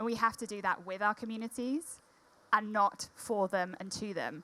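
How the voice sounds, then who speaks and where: A woman at medium pitch with a Welsh accent. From Wales. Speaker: corporate diversity executive. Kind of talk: panel discussion.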